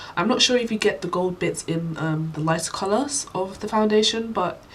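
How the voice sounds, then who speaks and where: A woman with a British accent talks at a fairly quick pace and ordinary pitch variation. Noticeable background noise can be heard. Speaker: beauty vlogger. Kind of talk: product review. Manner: casual, many fillers.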